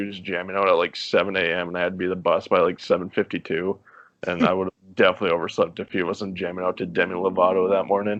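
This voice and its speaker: Very fast speech comes from a man with a North Dakota accent. His pitch is very deep and low. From North Dakota (Minot). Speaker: podcast guest, former water park lifeguard. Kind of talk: casual chat.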